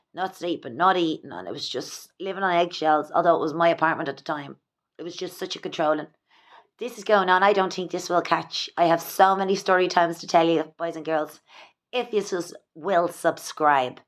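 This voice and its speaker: A woman with an Irish accent speaks at a fairly quick pace and a fairly low pitch, with fairly even intonation. Her loudness swings widely in a very clean recording with a silent background. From Ireland. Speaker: vlogger. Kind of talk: personal vlog monologue. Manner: halting.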